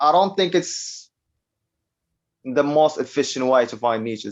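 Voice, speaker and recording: This man has a non-native accent. His fairly high voice swings very widely in pitch. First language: not English. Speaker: online publishing entrepreneur. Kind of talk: interview. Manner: halting.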